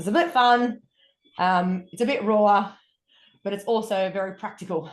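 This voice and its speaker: With an Australian accent, a woman speaks at a medium pitch and moderate pace, with ordinary pitch variation. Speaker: wellness coach. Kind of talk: podcast interview.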